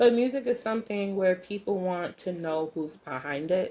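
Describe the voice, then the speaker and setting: Speaking at a moderate pace is a woman. She has a New York accent. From New York, the Bronx (Jamaican family). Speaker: singer-songwriter. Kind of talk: interview conversation.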